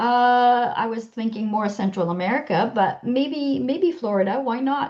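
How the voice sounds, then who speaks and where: Lively intonation in a Quebec accent. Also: woman, fairly high pitch for a woman. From Quebec, Canada. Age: 60s. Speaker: health-sharing business seller. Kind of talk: interview.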